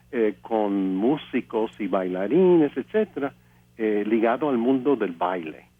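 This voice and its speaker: Using lively intonation, a man with an English accent speaks at medium pitch and a very slow pace. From US, Pennsylvania (Altoona). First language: English (speaking Spanish). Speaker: composer and pianist. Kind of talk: interview testimony. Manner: halting, many fillers.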